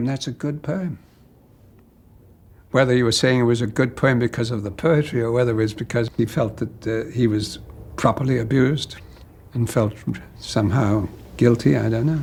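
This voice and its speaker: A man speaks at a moderate pace in a somewhat breathy voice of medium pitch, with ordinary pitch variation. He leaves long, frequent pauses. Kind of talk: interview answer recounting an anecdote. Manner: hesitant, halting.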